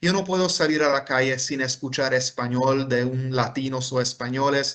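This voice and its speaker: With a Hungarian accent, a man speaks at medium pitch and a fairly slow pace, his intonation fairly even against a quiet background. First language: Hungarian (speaking Spanish). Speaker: professor. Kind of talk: lecture. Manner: halting, many fillers.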